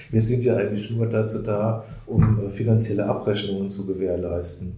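Audible room echo surrounds the speaker. He is a man with medium pitch. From Palatinate, Germany. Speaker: community volunteer. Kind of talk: interview.

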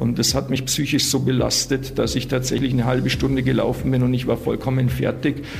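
This man talks at a fairly quick clip with a medium pitch, hardly any pauses and a monotone, flat delivery at very even loudness. Audible room echo and noticeable background noise surround his voice. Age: 40s. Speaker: prisoner claiming innocence. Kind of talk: interview. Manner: halting, repeating words.

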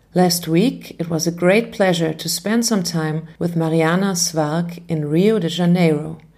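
A woman speaks at a fairly slow pace with hardly any pauses, her fairly low voice dark and mellow in tone and her intonation fairly even. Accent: German. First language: German. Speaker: podcast host, music educator. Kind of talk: scripted narration. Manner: formal.

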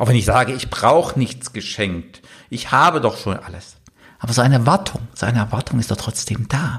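A man with an ordinary speaking voice, medium in pitch, at a moderate pace. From eastern Germany. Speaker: business coach and podcast host. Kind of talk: solo podcast monologue.

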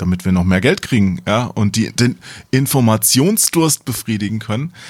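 Heard in a very clean recording with a silent background, a man with an unremarkable speaking voice talks at a fairly slow pace in a fairly low pitch with lively intonation. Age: middle-aged. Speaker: games journalist. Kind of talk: casual chat.

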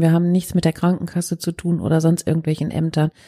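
Here a woman talks at a fairly quick pace. Her tone is dark and mellow. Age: 50s. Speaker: crisis counselling centre head. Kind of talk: interview.

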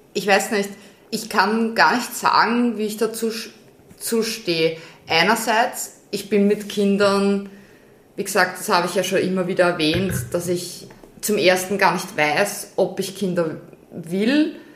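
A woman with a medium-pitched voice talks very slowly, with long, frequent pauses and ordinary rises and falls in pitch. Echo from the room can be heard. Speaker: podcast co-host. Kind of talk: casual chat.

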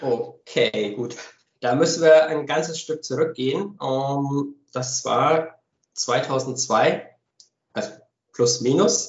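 A man speaks very slowly, leaving long, frequent pauses. His somewhat breathy voice is fairly high, with ordinary pitch variation. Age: 30s. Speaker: company founder and managing director. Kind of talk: podcast interview. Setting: home office.

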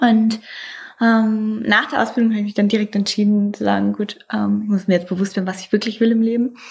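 Speaking fairly quickly, a woman uses a fairly high pitch and monotone, flat intonation. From northeastern Germany, Mecklenburg Lake District. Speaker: hotel director. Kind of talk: interview monologue.

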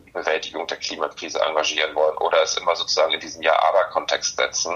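A man speaks over noticeable background noise. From northern Germany, Hamburg. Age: 40s. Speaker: sustainability consultant. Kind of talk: interview. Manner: frequent hesitations (ähm).

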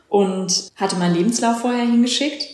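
Audible room echo carries a woman's voice, which shows ordinary pitch variation. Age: 30s. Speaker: trainee paramedic, trained opera singer. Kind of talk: interview.

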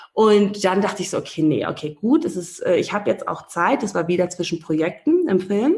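A woman speaks at a moderate pace with hardly any pauses. Her voice is somewhat breathy, with lively intonation. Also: medium pitch for a woman. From Namibia, Windhoek. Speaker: relationship and life coach. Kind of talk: interview.

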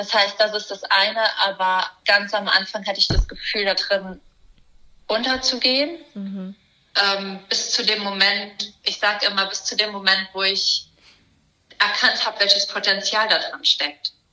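A woman of medium pitch speaks with fairly even intonation in a plain, everyday voice. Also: fairly slow pace. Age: 20s. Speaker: primatologist and animal welfare activist. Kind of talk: casual interview.

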